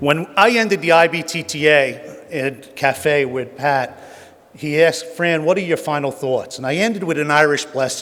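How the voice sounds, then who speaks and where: With a New Jersey accent, a man speaks at a moderate pace and a fairly high pitch, with ordinary pitch variation and noticeable background noise. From New Jersey, Jersey City. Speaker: honorary award recipient, tolling industry veteran. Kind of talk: acceptance speech.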